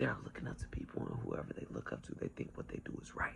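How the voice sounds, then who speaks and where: Whispering, a man speaks at a very fast pace. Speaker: spiritual vlogger. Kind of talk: casual monologue. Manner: animated.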